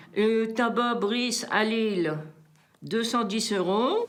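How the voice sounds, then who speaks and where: Ordinary pitch variation shapes the fairly high voice of a woman as she talks. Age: 70s. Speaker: retired cleaning lady. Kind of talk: interview answer.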